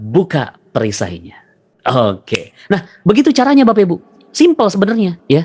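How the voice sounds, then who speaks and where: A man's voice with vocal fry and very wide pitch swings at a moderate pace. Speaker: motivational religious speaker. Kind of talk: motivational seminar talk. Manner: repetitive, call-and-response. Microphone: voice reportedly quiet for some listeners.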